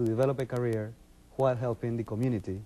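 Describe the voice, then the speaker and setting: A man with a Colombian accent at a very fast pace, medium in pitch, with a dark, mellow tone and fairly even intonation. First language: Spanish. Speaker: business consultant and children's author. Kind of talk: TV interview.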